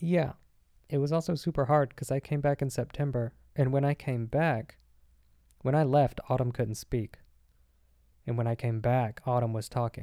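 On a very clean recording with a silent background, a man with an American accent speaks at medium pitch and a moderate pace in a dark, mellow tone, his intonation fairly even and his pauses long and frequent. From US South, Arkansas. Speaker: podcast co-host. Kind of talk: casual chat.

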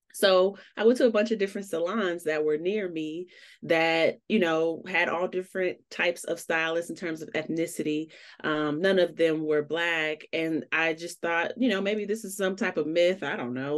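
A woman with an American accent, a fairly low pitch and a normal speaking voice, at a moderate pace with ordinary pitch variation against a quiet background. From Chicago. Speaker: entrepreneur, hair-care startup founder. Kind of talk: podcast interview.

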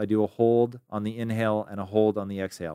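On a very clean recording with a silent background and a dry, close sound with no echo, a man with an American accent speaks in a fairly low pitch with fairly even intonation. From US Pacific Northwest (Tacoma, Washington). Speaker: entrepreneur. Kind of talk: interview.

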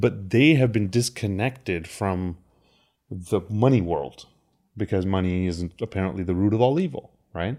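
The recording is very clean, with a silent background. A man with a fairly low pitch speaks in a dark, mellow tone. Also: ordinary pitch variation, moderate pace. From India. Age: 30s. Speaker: crypto advisor. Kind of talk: interview.

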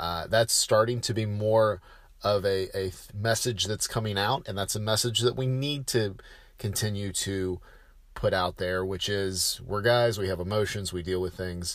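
A man with a plain, everyday voice speaks at a moderate pace, fairly low in pitch and with fairly even intonation. The recording is very clean with a silent background. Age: 30s. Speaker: podcast host. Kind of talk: solo podcast monologue. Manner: casual, with filler words.

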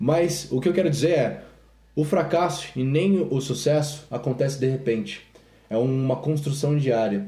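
Through audible room echo, a man with a somewhat breathy, dark, mellow tone speaks at a fairly high pitch and a fairly slow pace, with ordinary pitch variation and very even loudness. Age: 20s. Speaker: podcast host and fitness business owner. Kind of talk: casual chat.

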